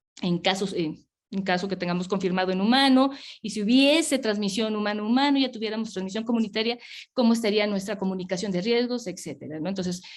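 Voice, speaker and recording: Talking at a very fast pace, a woman uses a medium pitch. Her pitch moves in an ordinary way. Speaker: public health official. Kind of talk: webinar presentation.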